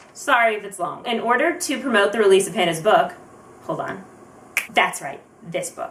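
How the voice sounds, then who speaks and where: Noticeable background noise sits behind a woman's fairly high voice. She uses very wide pitch swings and long, frequent pauses. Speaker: vlogger. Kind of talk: casual talk to camera. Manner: fast; rambling storytelling.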